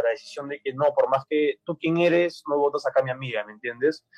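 A normal speaking voice of a man, fairly high pitch, moderate pace, fairly even intonation, dry, close sound with no echo. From Peru. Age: young. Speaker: university student. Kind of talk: radio panel discussion.

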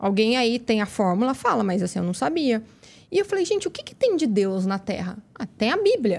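A woman speaks with very wide pitch swings. Her voice is somewhat breathy. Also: fairly high pitch for a woman. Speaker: method specialist, education entrepreneur. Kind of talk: interview conversation. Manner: fast.

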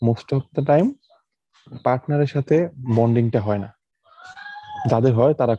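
A normal speaking voice, medium in pitch, belongs to a man using ordinary pitch variation. The sound is dry and close, with no echo. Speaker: podcast co-host. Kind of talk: casual chat.

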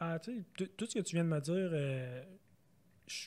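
A man with a Quebec accent talks at a moderate pace in a dark, mellow tone that is somewhat breathy. The recording is very clean, with a silent background. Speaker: data scientist, former actuary. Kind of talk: casual interview. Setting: recorded in Montreal.

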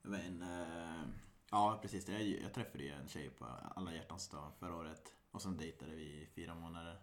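A man's very deep, low voice with audible room echo. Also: ordinary pitch variation, moderate pace. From Sweden, Västergötland (Mariestad area). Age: 30s. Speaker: podcast host. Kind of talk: casual chat.

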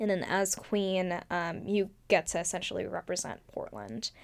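An unremarkable speaking voice moves at a moderate pace with fairly even intonation, in a very clean recording against a silent background. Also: woman. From US, Oregon. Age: 20s. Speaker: former rose queen. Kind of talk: casual interview.

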